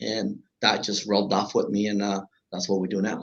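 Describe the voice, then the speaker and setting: With a Spanish accent, a man talks at a fairly quick pace in a fairly low pitch. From Honduras. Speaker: business owner. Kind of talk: interview.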